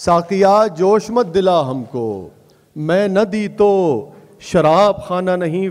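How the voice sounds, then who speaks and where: Noticeable background noise surrounds a man with a Punjabi accent. His high voice shows ordinary pitch variation. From Pakistan. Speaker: poet. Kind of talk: poetry reading at a mushaira.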